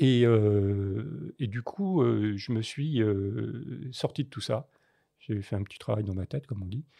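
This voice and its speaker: A very slow pace from a man with fairly low pitch and ordinary pitch variation. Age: 60s. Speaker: photojournalist. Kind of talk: podcast interview. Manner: halting, many hesitations.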